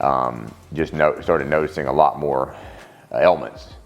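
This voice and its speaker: Music plays behind a man with a Louisiana accent whose very deep, low voice keeps a fairly even intonation. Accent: southern US (Louisiana). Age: 40s. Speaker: CrossFit masters athlete. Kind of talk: personal testimony, interview. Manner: halting, many fillers and restarts.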